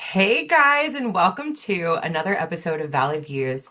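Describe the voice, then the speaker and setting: With a fairly low pitch, very wide pitch swings and an upbeat, enthusiastic tone, a woman talks at a moderate pace over noticeable background noise. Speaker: podcast host. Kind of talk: podcast intro.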